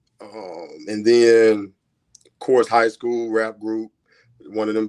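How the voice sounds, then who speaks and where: A man with an American accent, medium pitch and flat, monotone intonation. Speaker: singer. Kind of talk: casual interview chat.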